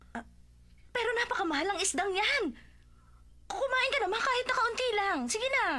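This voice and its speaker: Putting on a character voice, a woman speaks extremely high at a moderate pace with long, frequent pauses over light background noise. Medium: fan dub. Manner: fussy, excitable.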